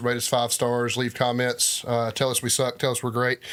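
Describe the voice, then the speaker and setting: A Southern US accent on a very clean recording with a silent background. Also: man. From US South. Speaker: podcast co-host. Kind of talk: casual chat.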